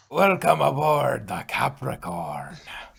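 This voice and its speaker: A man uses a put-on character voice, raspy and theatrical in tone. He talks at a fairly slow pace and medium pitch. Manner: welcoming, theatrical.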